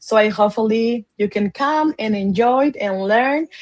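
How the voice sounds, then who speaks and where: A woman's fairly high voice with a Spanish accent, at a fairly slow pace. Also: dry, close sound with no echo. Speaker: education advocate. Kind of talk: interview. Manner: halting.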